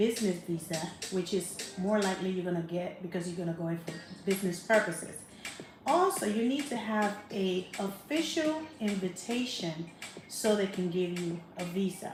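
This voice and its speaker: Against music in the background and audible room echo, a woman with a Spanish accent speaks at a moderate pace and medium pitch with ordinary pitch variation. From Panama. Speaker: travel vlogger. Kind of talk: casual travel vlog monologue.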